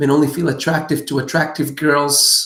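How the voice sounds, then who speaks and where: This is a man with a fairly high-pitched voice. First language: not English. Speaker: dating and relationship coach. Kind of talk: live Q&A answering viewer questions. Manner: animated.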